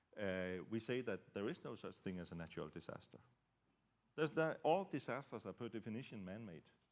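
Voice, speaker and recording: Very wide pitch swings mark this voice at a fairly quick pace. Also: man, medium pitch for a man. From Denmark. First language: Danish. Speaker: security researcher. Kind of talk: panel discussion. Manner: halting, many fillers.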